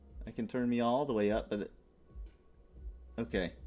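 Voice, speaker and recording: A man's quiet voice at medium pitch, with music in the background. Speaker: streamer interviewing guests. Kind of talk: casual chat. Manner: slightly quiet.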